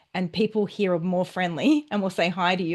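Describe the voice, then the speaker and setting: A woman with an Australian accent speaks at a very fast pace, medium in pitch with ordinary pitch variation, over a quiet background. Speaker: relationship and dating coach. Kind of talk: interview.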